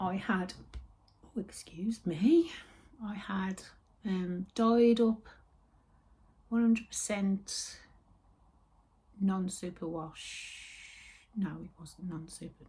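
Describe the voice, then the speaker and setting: A somewhat breathy woman's voice at a medium pitch with a West Midlands accent, dark and mellow in tone, at a very slow pace with long, frequent pauses and ordinary pitch variation. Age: 60s. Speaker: knitting and yarn vlogger. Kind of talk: casual chat. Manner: chatty, meandering.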